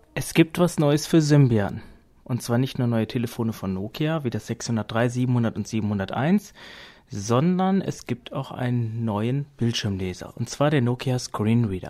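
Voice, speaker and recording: Speaking at a very slow pace, a man has a medium pitch, a dark, mellow tone and lively intonation. The recording is very clean with a silent background. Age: 30s. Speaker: podcast host reviewing assistive tech. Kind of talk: casual tech review podcast.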